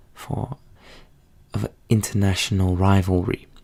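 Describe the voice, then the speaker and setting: Soft-spoken and somewhat breathy, a man speaks in a fairly low pitch with a dark, mellow tone. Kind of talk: softly-spoken ASMR educational history lesson. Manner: soft-spoken, relaxing.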